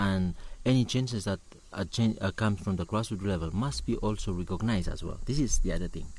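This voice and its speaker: A man speaks with a Ni-Vanuatu accent at a fairly low pitch. His pace is fairly quick, with ordinary pitch variation. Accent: Ni-Vanuatu (Pacific Islander) English. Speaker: climate activist, network coordinator. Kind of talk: interview. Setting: on location at a conference. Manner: halting, many fillers and repetitions.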